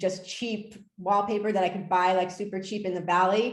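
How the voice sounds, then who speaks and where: A woman speaks in a medium pitch with audible room echo. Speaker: artist and art professor. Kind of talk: lecture. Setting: video call. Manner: halting, many fillers.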